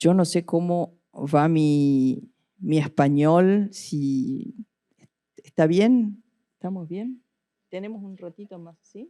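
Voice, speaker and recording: Speaking at a very slow pace, a woman with a fairly low pitch and a dark, mellow tone uses lively intonation and big swings in loudness. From Argentina. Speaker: art curator and critic. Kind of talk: lecture. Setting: lecture hall with audience. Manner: formal.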